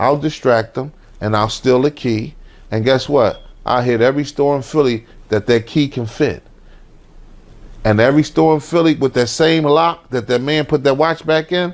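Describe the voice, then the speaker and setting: This man talks at a moderate pace with a medium pitch. His pitch varies in an ordinary way. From Philadelphia. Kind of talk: interview answer. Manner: casual storytelling.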